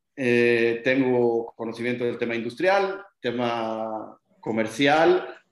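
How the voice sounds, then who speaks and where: Audible room echo surrounds a man speaking very slowly with hardly any pauses. His pitch is medium, with ordinary variation. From Mexico, Guadalajara. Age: 30s. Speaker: short-term rental company executive. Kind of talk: interview.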